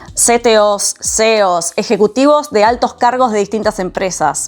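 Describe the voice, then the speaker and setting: A woman speaks with an Argentine accent at a fairly high pitch and ordinary pitch variation. Her pace is moderate. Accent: Argentine Spanish (Rioplatense). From Argentina. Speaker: vlogger, systems engineer living abroad. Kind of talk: personal storytelling vlog.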